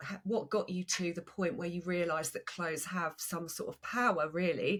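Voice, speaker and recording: In an Essex accent, a woman speaks at a moderate pace with fairly low pitch and fairly even intonation. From Essex, England. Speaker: podcast host, personal stylist. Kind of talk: podcast interview.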